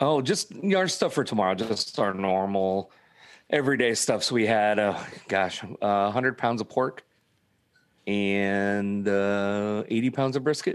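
This man has a plain, everyday voice, fairly low in pitch, speaking at a fairly slow pace with ordinary pitch variation and very even loudness. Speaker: food truck owner. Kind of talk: casual chat. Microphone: good mic, headphones.

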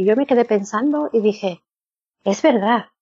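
A woman with an unremarkable speaking voice keeps a fairly high pitch and a moderate pace. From northern Spain. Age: 50s. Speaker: former church member. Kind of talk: interview.

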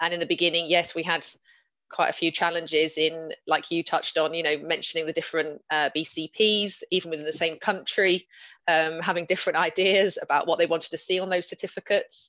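Against a quiet background, a woman with a southern English accent talks at a fairly quick pace in a bright, sharp tone, her fairly low pitch held in a monotone, flat intonation. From southern England, West Sussex. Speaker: veterinarian, operations manager. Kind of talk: panel discussion.

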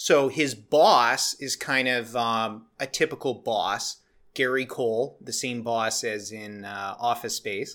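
The tone is bright and sharp, the intonation fairly even, and the recording very clean with a silent background. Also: man, medium pitch for a man. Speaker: podcast host. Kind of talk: casual chat. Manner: talks quickly at times.

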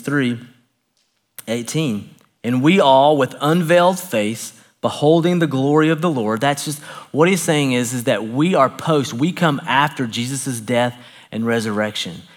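Man with a Southern US accent, fairly high pitch and ordinary pitch variation. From US South, Knoxville, Tennessee. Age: 40s. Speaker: pastor. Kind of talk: sermon. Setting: church.

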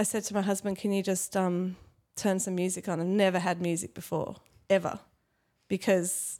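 Recorded very cleanly with a silent background, a woman of medium pitch speaks at a moderate pace in a plain, everyday voice. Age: 40s. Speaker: parenting and spirituality teacher. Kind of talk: casual interview conversation. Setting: studio.

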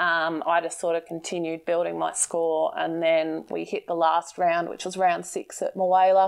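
A woman with an Australian accent speaks at a moderate pace. She leaves hardly any pauses. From Victoria, Australia (Bendigo). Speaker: fishing tackle shop owner and angler. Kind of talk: casual interview chat. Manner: hesitant with frequent fillers.

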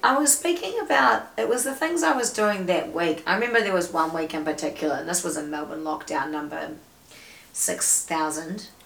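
Her pitch sits in the medium range and swings very widely as she talks at a moderate pace. Noticeable background noise runs behind this woman's voice. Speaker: comedian, psychologist, MC and musician. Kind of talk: casual chat. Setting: podcast.

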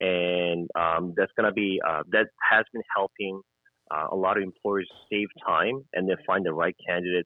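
Speaking at a moderate pace, a man uses a very deep, low pitch and fairly even intonation. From South Korea. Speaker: immigration consultant. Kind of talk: interview. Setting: phone call.

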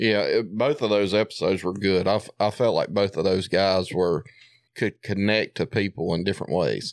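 In a Southern US accent, a man with a fairly low pitch and ordinary pitch variation speaks at a moderate pace and very even loudness, in a very clean, dry, close recording with a silent background and no echo. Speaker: coon hunter. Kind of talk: casual chat.

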